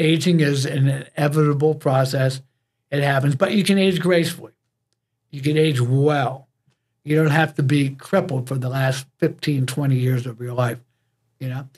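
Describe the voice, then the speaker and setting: A fairly high, somewhat breathy male voice at a moderate pace, with fairly even intonation. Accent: American. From US. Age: 70s. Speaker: fitness coach. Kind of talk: interview.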